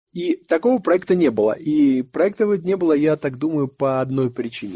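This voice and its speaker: A man with a dark, mellow tone talks at a fairly slow pace, his intonation lively. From Russia. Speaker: photographer. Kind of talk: interview. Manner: halting.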